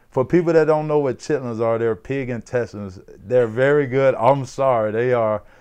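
Over a quiet background, a man speaks at medium pitch in a Mississippi accent. His pace is moderate. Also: ordinary pitch variation. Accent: Southern US (Mississippi). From US South, Mississippi. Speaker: former pro football player. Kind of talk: casual chat.

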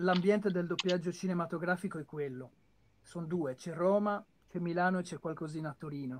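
Pitched high with fairly even intonation, a man speaks at a fairly quick pace. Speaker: voice actor and dubber. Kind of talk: casual chat. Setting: video call. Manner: clear trained diction. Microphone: too quiet.

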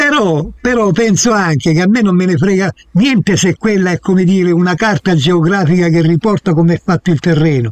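A man's high-pitched voice at a fairly quick pace, lively intonation, dry and close sound with no echo. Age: 80s. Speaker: guest, former maths teacher. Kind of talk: heated debate.

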